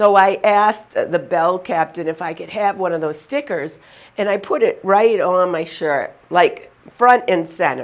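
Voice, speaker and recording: Speaking fairly slowly with a Boston accent, a woman uses a medium pitch and ordinary pitch variation. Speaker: motivational humorist. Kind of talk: humorous storytelling. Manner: animated.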